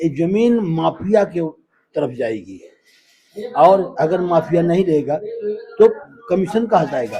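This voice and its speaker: A man with a high-pitched voice and lively intonation, broken by long, frequent pauses. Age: 80s+. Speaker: displaced resident. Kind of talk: street interview. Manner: halting.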